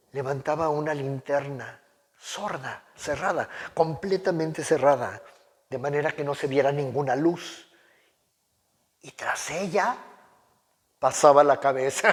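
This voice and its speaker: Speaking at a fairly slow pace with long, frequent pauses, a man uses a fairly high pitch, ordinary pitch variation and big swings in loudness. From Mexico. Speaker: oral storyteller. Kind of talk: dramatic story reading aloud.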